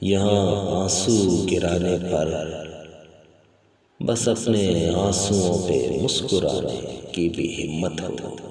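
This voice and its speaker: The voice shows ordinary pitch variation. Noticeable background noise is heard behind it. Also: man. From Pakistan. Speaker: poet. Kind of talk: poetry reading.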